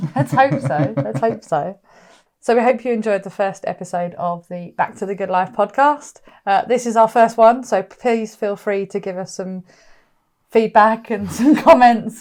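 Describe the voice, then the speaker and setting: With a West Country accent, a woman speaks at a moderate pace using lively intonation. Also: medium pitch for a woman. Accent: West Country, milder than her partner's. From West Country, England. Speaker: podcast co-host. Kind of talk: casual chat. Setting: recorded podcast, also on video.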